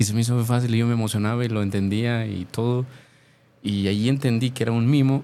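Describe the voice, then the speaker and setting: Over a silent background on a very clean recording, a man talks at a very fast pace. His tone is dark and mellow, with fairly even intonation. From Mexico, Jalisco (Tlaquepaque). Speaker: mime performer. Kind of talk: interview.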